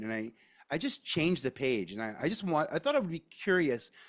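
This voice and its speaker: A man with a New York accent speaks at a moderate pace in an animated tone, his pitch swinging very widely. The recording is very clean with a silent background and a dry, close sound with no echo. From New York, Staten Island. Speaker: media advisor. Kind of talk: candid interview conversation. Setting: podcast recording. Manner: animated, expressive intonation; halting, many restarts.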